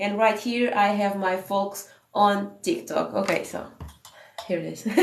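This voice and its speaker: In a Portuguese accent, a woman speaks at a fairly slow pace with ordinary pitch variation and audible room echo. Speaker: business coach. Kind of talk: live stream sales tips talk. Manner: animated.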